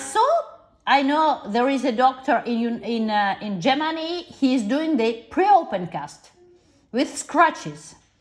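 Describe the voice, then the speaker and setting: A woman's high voice with very wide pitch swings, a non-native accent and a fairly slow pace. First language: not English. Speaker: parent of a patient. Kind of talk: medical consultation. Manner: halting.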